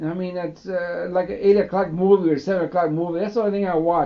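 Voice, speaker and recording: His voice sits high in pitch. The one talking is a man. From Mexican-born, raised in the US. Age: 60s. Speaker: man recording his life story. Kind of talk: personal reminiscence monologue. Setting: home tape recording. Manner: halting, many fillers; casual, rambling.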